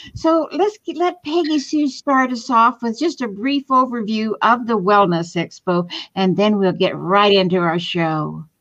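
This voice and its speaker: Fairly high in pitch, a woman speaks at a fairly slow pace with very wide pitch swings and hardly any pauses. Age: 70s. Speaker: podcast host. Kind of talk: casual chat. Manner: animated.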